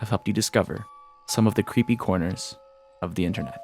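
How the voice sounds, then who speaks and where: Over music in the background, a man talks very fast in a fairly low pitch with ordinary pitch variation. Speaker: YouTuber, gaming and internet commentary. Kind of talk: scripted narration.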